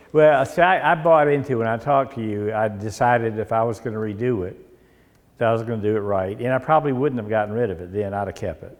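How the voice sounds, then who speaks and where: Speaking at a very fast pace, a man talks. His pitch varies in an ordinary way. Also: medium pitch for a man, big swings in loudness. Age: 70s. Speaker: car owner. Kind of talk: casual conversation.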